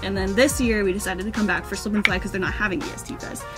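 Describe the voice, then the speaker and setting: Clear music fills the background. Over it, a woman talks. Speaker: vlogger. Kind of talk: casual vlog chat. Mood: cheerful, excited. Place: car. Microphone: phone near.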